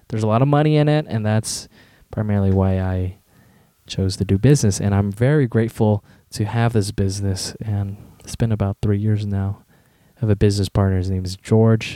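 This man talks at a fairly quick pace with an American accent and a fairly low pitch. His intonation is fairly even, and his tone is dark and mellow. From Southern California. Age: 20s. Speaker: podcaster and university student. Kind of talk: solo casual monologue. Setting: home bedroom. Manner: hesitant, many fillers.

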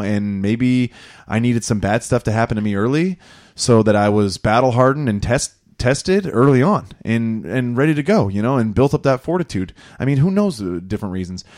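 A man speaks at a fairly quick pace and medium pitch with lively intonation. It is an ordinary speaking voice. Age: 30s. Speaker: podcast host. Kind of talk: casual chat.

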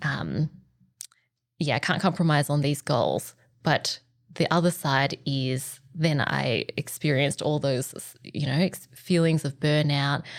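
Vocal fry runs through a fairly slow delivery with fairly even intonation, in an Australian accent. The recording is very clean, with a silent background. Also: woman, very deep, low pitch for a woman. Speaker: organizational psychologist. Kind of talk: casual interview.

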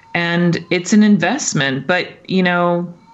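Over music in the background, a woman speaks at a fairly low pitch. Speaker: opera singer and voice teacher. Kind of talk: casual interview conversation.

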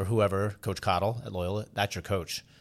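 With an unremarkable speaking voice, a man talks at a fairly low pitch and a moderate pace on a very clean recording with a silent background. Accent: American. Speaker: podcast host and lacrosse coach. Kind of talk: casual interview. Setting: studio.

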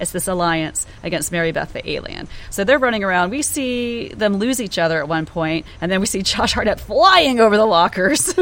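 With an American accent, a woman speaks in a normal speaking voice at medium pitch and a fairly quick pace. Her intonation is lively, with hardly any pauses. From US South, Georgia. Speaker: podcast co-host. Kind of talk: casual chat.

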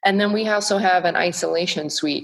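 A woman with an American accent has an unremarkable speaking voice at a fairly low pitch. She talks at a moderate pace. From US, Texas (North Dallas). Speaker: equine veterinarian. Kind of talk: interview conversation.

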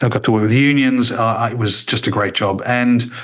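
A man with an Australian accent talks at a moderate pace. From Australia, Tasmania. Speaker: former radio executive. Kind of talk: casual interview.

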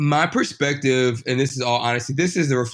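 A medium-pitched male voice with fairly even intonation. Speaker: fraternity member. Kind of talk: casual chat.

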